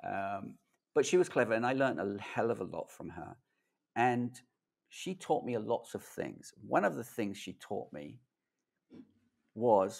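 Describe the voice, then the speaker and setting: Speaking in a London accent, a man shows vocal fry, lively intonation and big swings in loudness at a fairly slow pace. He pauses long and often, in a very clean recording with a silent background. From London, England. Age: 50s. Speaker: tech video creator. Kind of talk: casual interview chat. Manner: animated.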